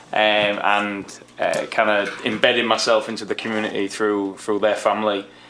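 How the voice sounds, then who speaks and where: This man speaks at a moderate pace. Noticeable background noise runs behind him. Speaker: assistant professor, coaching education. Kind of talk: self-introduction at public board meeting. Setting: city board meeting.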